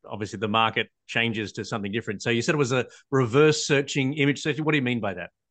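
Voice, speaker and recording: The pace is very fast. A man is talking in an Australian accent. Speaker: podcast host, patent attorney. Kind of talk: interview.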